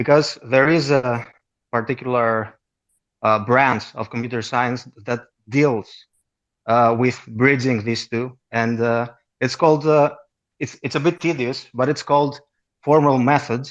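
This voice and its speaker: A man with a Greek accent speaks at a medium pitch and a moderate pace, with fairly even intonation and long, frequent pauses over a quiet background. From Greece. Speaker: caller with a computer science question. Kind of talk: question to the host. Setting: online audio chat room. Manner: hesitant, many fillers.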